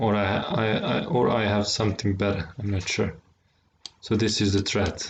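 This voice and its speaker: A man with a non-native accent speaks at a fairly low pitch. His pace is moderate and his intonation fairly even. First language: not English. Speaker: chess streamer. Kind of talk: live game commentary. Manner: halting, frequent word repetitions.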